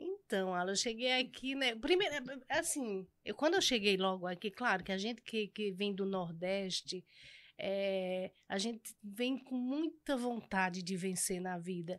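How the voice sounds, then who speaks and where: A woman's medium-pitched voice, fairly slow in pace, with lively intonation against a quiet background. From Pernambuco, rural area near Garanhuns; Pernambuco, Brazil. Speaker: pastry cook and entrepreneur; podcast guest. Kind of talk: casual interview chat. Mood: warm, lively, at times emotional. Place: studio. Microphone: studio mic.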